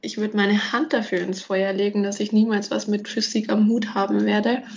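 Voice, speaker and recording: A somewhat breathy woman at a moderate pace, her intonation fairly even. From Franconia, between Nuremberg and Würzburg. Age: 20s. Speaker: podcast host, industrial engineer. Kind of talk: casual chat.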